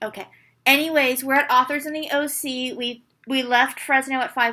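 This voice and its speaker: Raising and projecting her voice, a woman speaks at a moderate pace with a high pitch, a bright, sharp tone, fairly even intonation and big swings in loudness on a very clean recording with a silent background. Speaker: book reviewer. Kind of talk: casual chat.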